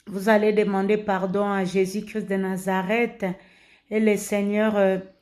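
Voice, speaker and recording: A woman speaks with a Congolese accent at a medium pitch, in a monotone, flat intonation. The recording is very clean, with a silent background. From DR Congo. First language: Lingala (speaking French). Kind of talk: religious exhortation, informal preaching. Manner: halting, many hesitations and repetitions.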